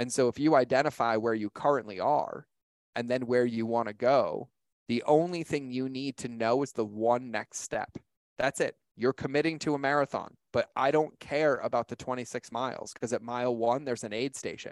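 In a dry, close sound with no echo, a man with an unremarkable speaking voice talks at a moderate pace and medium pitch, his intonation fairly even. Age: 30s. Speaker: author and digital marketing expert. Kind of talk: interview, motivational talk.

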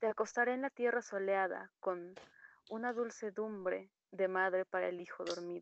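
In an unremarkable speaking voice, a woman of medium pitch talks at a moderate pace with fairly even intonation, the sound dry and close with no echo. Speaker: poetry reader. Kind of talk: poetry reading. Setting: video call.

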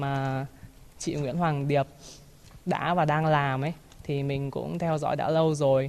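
Fairly slow and fairly even in intonation, a woman speaks with a very deep, low pitch. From Hanoi, northern Vietnam. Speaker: university teacher. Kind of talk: poetry reading and personal sharing. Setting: outdoors.

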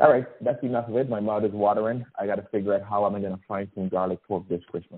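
With a Guyanese accent, a man talks at a very fast pace in a fairly low pitch, his intonation fairly even. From Guyana. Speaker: storyteller sharing a holiday memory. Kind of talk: personal anecdote, recipe description.

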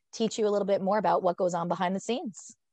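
A woman speaks with an American accent at a medium pitch. The sound is dry and close with no echo, over a quiet background. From New Jersey (Fairfield). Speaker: podcast host, sports media worker. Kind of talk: casual chat.

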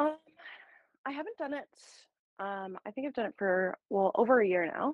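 In a Canadian accent, a woman speaks with very wide pitch swings. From Ontario, Canada. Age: 30s. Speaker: small business owner. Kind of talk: casual chat.

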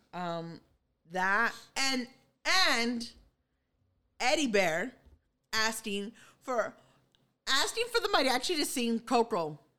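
Her voice is fairly high, with a bright, sharp tone and very wide pitch swings. The woman speaks at a very slow pace with long, frequent pauses. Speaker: podcast host. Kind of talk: casual chat. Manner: casual, profane, talkative.

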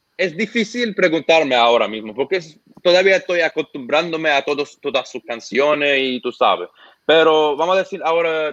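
In an Arabic accent, a man speaks at a fairly high pitch and a moderate pace with lively intonation, the sound dry and close with no echo. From Lebanon. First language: Arabic (speaking Spanish). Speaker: YouTuber reacting to Latin urban music. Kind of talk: casual interview. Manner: halting.

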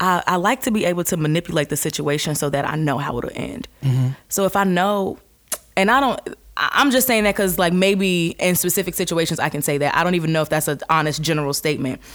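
Over noticeable background noise, a woman with a fairly low pitch talks at a very fast pace with lively intonation. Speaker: guest, singer and actress. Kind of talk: casual chat, banter.

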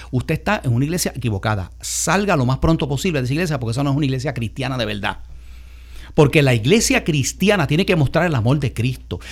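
A man talks very fast at a medium pitch. His intonation is lively and his voice has vocal fry. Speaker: radio host and pastor. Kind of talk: radio talk show.

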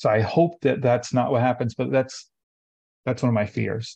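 A man speaks at a medium pitch with a dark, mellow tone. His intonation stays fairly even against a quiet background. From Tennessee, Lafayette. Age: 30s. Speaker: farm manager. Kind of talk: interview.

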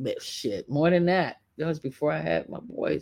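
The recording is very clean, with a silent background. A woman talks at a very deep, low pitch. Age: 50s. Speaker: podcast host. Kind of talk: casual commentary. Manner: rambling conversational.

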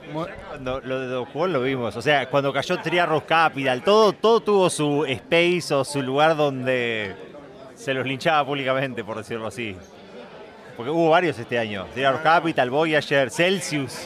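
With an Argentine accent, a man of fairly high pitch speaks at a fairly slow pace with lively intonation over noticeable background noise. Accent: Argentine Spanish (Rioplatense). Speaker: conference speaker. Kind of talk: casual chat. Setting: restaurant.

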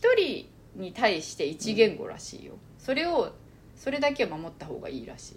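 At a moderate pace, a woman talks in a space with audible room echo. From Japan, born in China and moved young. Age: 30s. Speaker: podcast co-host. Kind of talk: casual chat. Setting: recording in person together.

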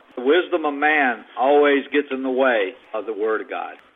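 Ordinary pitch variation in a male voice, set against noticeable background noise. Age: 70s. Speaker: caller. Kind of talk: casual testimony. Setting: phone call.

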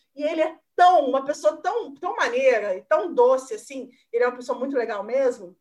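A woman is speaking. Her intonation is lively. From southern Minas Gerais, Brazil (Caxambu). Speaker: journalist. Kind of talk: casual chat.

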